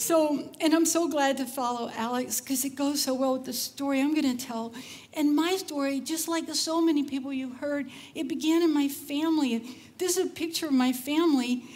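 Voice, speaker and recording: A woman with an American accent talks at a moderate pace in a high pitch with fairly even intonation, and audible room echo surrounds her. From Texas, Cajun roots. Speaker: conference speaker. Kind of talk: conference talk. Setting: stage with audience. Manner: casual, chatty.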